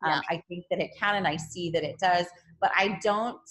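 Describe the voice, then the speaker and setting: A woman with a fairly low pitch and ordinary pitch variation speaks in a normal speaking voice. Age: 40s. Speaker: yoga teacher and vegan influencer. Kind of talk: interview.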